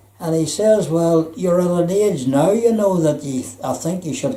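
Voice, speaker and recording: In a Belfast accent, a man speaks at a fairly slow pace and fairly high pitch with lively intonation. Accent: Belfast Northern Irish. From Northern Ireland, Belfast. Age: 80s+. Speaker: retired electrician. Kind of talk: life story interview. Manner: halting.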